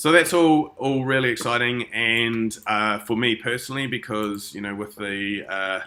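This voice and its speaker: Noticeable background noise sits behind a man speaking at a moderate pace with hardly any pauses. His pitch is medium, with ordinary variation. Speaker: crypto investment promoter. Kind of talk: sales presentation.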